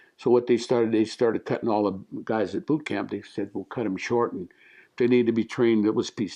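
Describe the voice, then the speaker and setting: At a very fast pace, a man talks with an American accent. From Louisville, Colorado. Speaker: war veteran. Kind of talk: oral history interview. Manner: halting.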